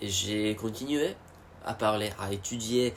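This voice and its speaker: A man with an English accent. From United States. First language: English (speaking French). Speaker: vlogger. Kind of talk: casual monologue. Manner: halting, many fillers and repetitions.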